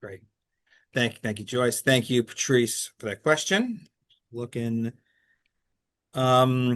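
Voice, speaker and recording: A man in a New York accent, very slow, with long, frequent pauses and big swings in loudness. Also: medium pitch for a man, ordinary pitch variation. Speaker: lecture moderator. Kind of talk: audience Q&A moderation.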